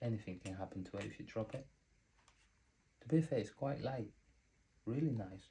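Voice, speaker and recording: Speaking at a fairly quick pace yet with long, frequent pauses, a man has a dark, mellow tone that is somewhat breathy, with ordinary pitch variation. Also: medium pitch for a man. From Spain or Spanish-speaking country. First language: Spanish. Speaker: vlogger. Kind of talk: unboxing tutorial. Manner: casual, conversational.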